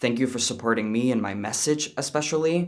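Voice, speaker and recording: Speaking with a Danish accent, a man uses a medium pitch, ordinary pitch variation and a moderate pace. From Denmark. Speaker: YouTuber, commentator. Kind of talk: reaction commentary and thank-you message to viewers.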